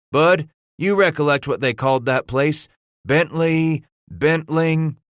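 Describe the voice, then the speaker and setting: In a put-on character voice, a man drawls at a fairly slow pace with a fairly high pitch and fairly even intonation, in a very clean recording with a silent background and a dry, close sound with no echo. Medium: read story. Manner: drawling frontier dialect.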